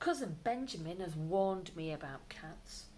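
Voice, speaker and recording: Using a put-on character voice, a woman speaks at a moderate pace and a fairly low pitch, with clear background noise. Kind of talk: bedtime story. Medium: read story.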